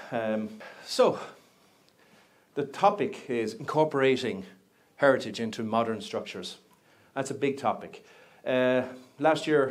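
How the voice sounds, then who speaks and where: In an Irish accent, a man speaks with ordinary pitch variation, and audible room echo surrounds him. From Ireland. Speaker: project management company representative. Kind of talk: conference talk. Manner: animated, conversational.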